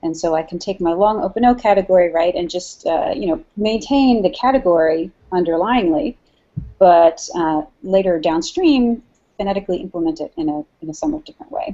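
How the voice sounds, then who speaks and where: Speaking with an American accent, a woman uses a medium pitch, lively intonation and big swings in loudness. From New Jersey, US. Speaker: linguistics professor. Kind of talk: academic interview.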